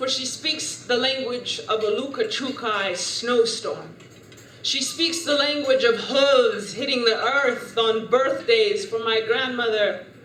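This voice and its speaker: Noticeable background noise can be heard. The speaker goes at a fairly slow pace with ordinary pitch variation. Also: woman, high pitch for a woman. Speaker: spoken word poet. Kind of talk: spoken word poetry performance.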